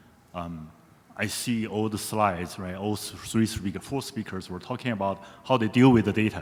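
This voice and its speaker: A man's fairly low-pitched voice with a non-native accent and lively intonation. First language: not English. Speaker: audience member asking a question. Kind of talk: audience Q&A comment.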